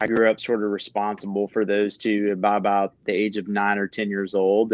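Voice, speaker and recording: In a dry, close recording with no echo, a man with a fairly low voice talks at a fairly quick pace in a flat monotone. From Louisiana, Baton Rouge. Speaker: combat veteran and physical therapist. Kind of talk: interview.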